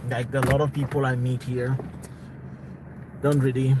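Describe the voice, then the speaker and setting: Amid noticeable background noise, a man at a medium pitch speaks fairly slowly in a monotone, flat intonation. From South Africa. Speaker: live streamer. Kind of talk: casual live stream chat. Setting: live stream at home.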